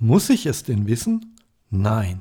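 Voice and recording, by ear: A raspy, dark and mellow voice with a slightly husky edge and vocal fry, moving slowly through big pitch swings. The recording is very clean, with a silent background. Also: man.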